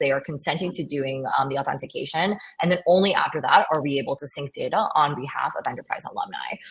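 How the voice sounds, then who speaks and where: A somewhat breathy woman's voice at a very fast pace. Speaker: tech startup founder. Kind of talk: webinar panel discussion.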